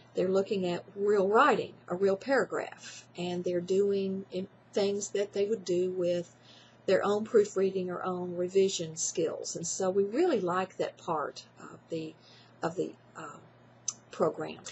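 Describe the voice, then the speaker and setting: This woman has a Tennessee accent and a medium pitch. Her loudness swings a lot while her intonation stays fairly even. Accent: Tennessee Southern. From Tennessee, Jackson. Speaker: college writing teacher. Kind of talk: testimonial talk. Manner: hesitant with fillers.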